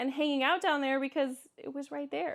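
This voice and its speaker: In a Kansas accent, a woman speaks with a high-pitched voice. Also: very clean recording, silent background. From Kansas, US Midwest. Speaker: vlogger. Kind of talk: casual vlog Q&A. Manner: halting, with frequent restarts.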